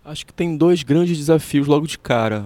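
In a very clean recording with a silent background and dry, close sound with no echo, a man talks at a fairly quick pace. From Pará, Brazil. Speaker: musician. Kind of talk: interview. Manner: halting.

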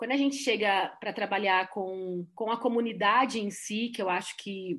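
A woman speaks in an unremarkable speaking voice at a moderate pace, with a medium pitch and ordinary pitch variation, over a quiet background. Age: 40s. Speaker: tourism and environment specialist. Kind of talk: panel discussion.

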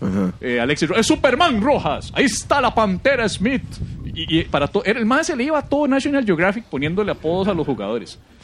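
Over noticeable background noise, a man talks at a fairly quick pace and a high pitch, with very wide pitch swings. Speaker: podcast co-host, comedian. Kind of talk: casual comedic chat.

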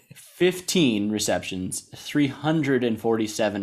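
A man with an American accent, fairly low in pitch, talking at a fairly slow pace with lively intonation over music in the background. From US South. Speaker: sports podcast co-host. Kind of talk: casual chat. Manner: animated.

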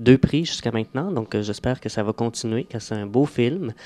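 A man with a dark, mellow tone talks at a fairly quick pace in a dry, close sound with no echo. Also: quiet background. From Quebec, Laurentians (Mont-Tremblant area). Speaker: actor. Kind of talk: radio interview.

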